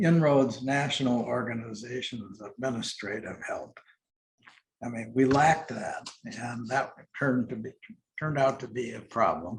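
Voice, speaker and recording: At a moderate pace, a man with an American accent speaks in a somewhat breathy voice of medium pitch. His pitch variation is ordinary, and his loudness swings widely. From Milwaukee, Wisconsin, USA. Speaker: retired corporate CEO and nonprofit board chair. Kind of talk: oral history interview answer. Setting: interview recording.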